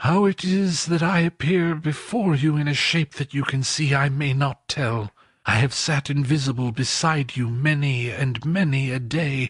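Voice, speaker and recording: A put-on character voice from a man, fairly high in pitch, at a moderate pace with hardly any pauses. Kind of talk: Victorian ghost story reading. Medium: read story. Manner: solemn, sorrowful.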